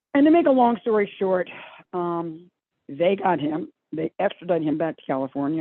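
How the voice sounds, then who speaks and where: A woman speaks with a Baltimore accent. Her pace is fairly quick. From Maryland, Dundalk (Baltimore area). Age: 70s. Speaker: recovering addict and addiction counselor. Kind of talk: testimony. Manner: rambling, halting.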